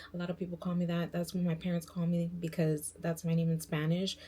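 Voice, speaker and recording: A woman's dark, mellow, somewhat breathy voice, fairly low in pitch, at a fairly quick pace with fairly even intonation. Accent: New York. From New York. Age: 20s. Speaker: beauty and lifestyle vlogger. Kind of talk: casual vlog intro. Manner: casual, filler-heavy.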